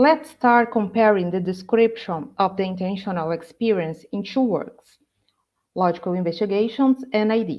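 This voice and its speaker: Her voice is a plain, everyday voice, with a woman speaking at a moderate pace, medium pitch, and ordinary pitch variation. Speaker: graduate student presenter. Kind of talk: academic conference talk.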